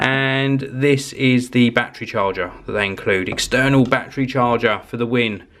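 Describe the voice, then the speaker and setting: Noticeable background noise runs under this recording. A man talks at a medium pitch and a moderate pace. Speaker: tech vlogger. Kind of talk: vlog unboxing.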